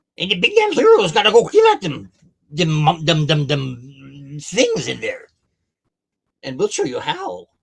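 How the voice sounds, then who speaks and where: A man puts on a character voice with a high pitch and talks at a moderate pace. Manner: eager, trying to help the party.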